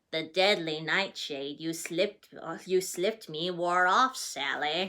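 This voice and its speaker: Using a put-on character voice, a woman talks at a fairly slow pace in a fairly low pitch. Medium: read story.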